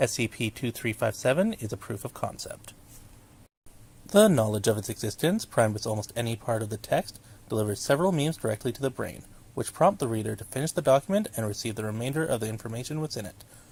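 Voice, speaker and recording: At a very fast pace, a man with a medium pitch and a somewhat breathy voice speaks with ordinary pitch variation. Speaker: hobby narrator of horror documents. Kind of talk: fictional letter read aloud.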